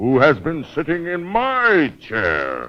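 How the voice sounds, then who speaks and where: A man's bellowing, put-on character voice at a very slow pace. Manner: roaring.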